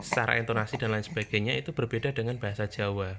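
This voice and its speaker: Man with a strong Javanese accent and a bright, sharp tone. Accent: strong Javanese accent in Indonesian. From Java, Indonesia. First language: Javanese (speaking Indonesian). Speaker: parenting vlogger, father. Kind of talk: casual talk to camera.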